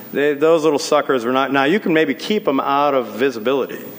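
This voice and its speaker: Noticeable background noise sits under this man's voice. He speaks at a medium pitch and a very fast pace. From New York City, South Bronx. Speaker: business executive. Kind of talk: lecture. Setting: stage with audience.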